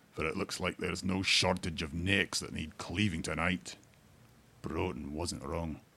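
Very deep and low, a man's voice carries vocal fry and a bright, sharp tone. He talks fairly slowly with fairly even intonation. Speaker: narrator reading fantasy lore story. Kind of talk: fantasy audiobook reading, scripted narration with character dialogue.

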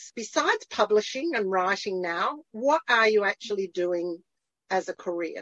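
Speaking with an Australian accent, a woman keeps a medium pitch. Her intonation is lively and her pace moderate. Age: 60s. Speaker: podcast host. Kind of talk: casual interview. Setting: video call.

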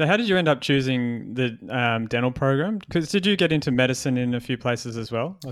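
With lively intonation, a man speaks very fast at a medium pitch on a very clean recording with a silent background. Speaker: podcast host and dentist. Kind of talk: interview, casual chat.

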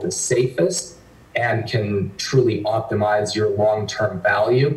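A man speaks at a medium pitch. There is noticeable background noise and audible room echo. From northwestern Canada. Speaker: investment firm founder and CEO. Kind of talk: interview.

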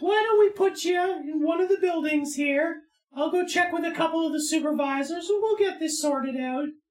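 A put-on character voice comes through at a high pitch. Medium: actual play. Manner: cool, suspicious, quietly menacing.

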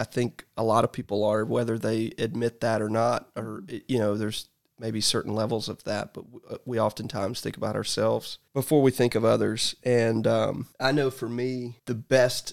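A man talks in a normal speaking voice at a medium pitch, with fairly even intonation and a moderate pace. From US South, Georgia. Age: 40s. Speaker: barbecue restaurant owner. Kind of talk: casual chat.

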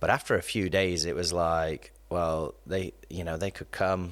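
With an English accent, a man speaks at a moderate pace in a very deep, low pitch and fairly even intonation, in a very clean recording with a silent background. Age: 30s. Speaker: youth and campus pastor. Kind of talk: casual chat.

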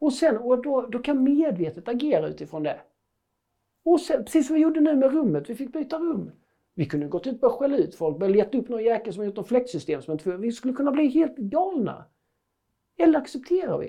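A man talks at a very fast pace. His pitch is extremely high and swings very widely. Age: 40s. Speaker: parenting coach and speaker. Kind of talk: casual interview conversation.

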